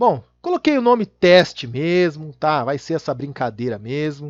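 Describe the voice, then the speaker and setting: Against a quiet background, a man with a plain, everyday voice talks at a moderate pace with lively intonation. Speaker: Excel VBA instructor. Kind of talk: tutorial.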